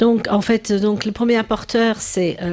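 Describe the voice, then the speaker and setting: Speaking at a moderate pace, a woman talks with a slight English accent. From England. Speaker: business owner. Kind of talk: TV interview.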